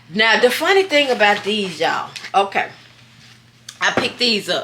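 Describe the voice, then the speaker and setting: Over noticeable background noise, a woman with a fairly high pitch speaks at a moderate pace, her intonation lively and her tone animated. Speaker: thrift haul vlogger. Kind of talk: casual haul vlog.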